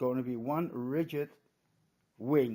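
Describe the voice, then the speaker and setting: A man with a Dutch accent speaks at a very slow pace. His fairly high voice has a dark, mellow tone and ordinary pitch variation. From Netherlands. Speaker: hobbyist vlogger. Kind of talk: casual show-and-tell vlog. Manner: halting, many hesitations.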